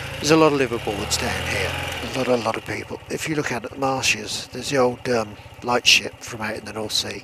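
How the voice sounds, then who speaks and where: A man's medium-pitched voice at a fairly quick pace, fairly even in intonation, with big swings in loudness and noticeable background noise. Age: old. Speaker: motorcyclist vlogger. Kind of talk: casual talk to camera. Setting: outdoors, speaking on a motorbike.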